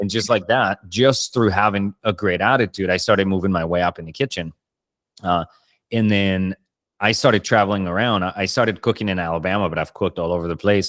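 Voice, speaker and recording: A man with a Spanish accent speaks at a fairly quick pace in a fairly low voice, recorded very cleanly against a silent background with a dry, close sound and no echo. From Colombia. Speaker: podcast host, chef. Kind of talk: casual interview chat.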